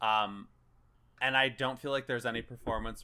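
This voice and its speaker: A man with an American accent speaks in a bright, sharp tone. The recording is very clean, with a silent background. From US Midwest, Chicago. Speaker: podcast host. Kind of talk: casual chat.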